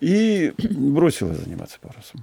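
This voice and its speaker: Vocal fry over a dark, mellow tone, with lively intonation and a dry, close sound free of echo. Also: man. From Russia, Saratov then Omsk. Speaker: yacht captain and traveler. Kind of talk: interview storytelling.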